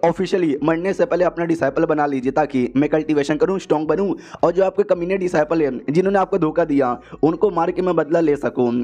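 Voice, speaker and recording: With music in the background, the speech moves at a moderate pace with ordinary pitch variation. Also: man. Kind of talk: casual recap narration.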